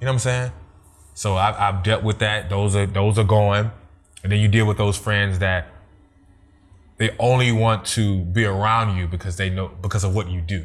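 Music plays in the background as a man with an American accent speaks at a moderate pace and fairly low pitch. His intonation is fairly even, with long, frequent pauses. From Germany, military family. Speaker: radio/TV personality and video producer. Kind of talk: casual interview chat.

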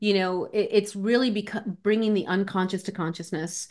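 In a normal speaking voice, a woman talks at a moderate pace with a medium pitch. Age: 50s. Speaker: life coach. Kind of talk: interview.

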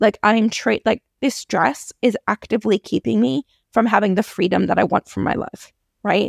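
With an American accent and vocal fry, a woman speaks at a medium pitch and moderate pace with lively intonation, in a dry, close sound with no echo. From US. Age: 40s. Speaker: podcast host. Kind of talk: casual solo podcast talk.

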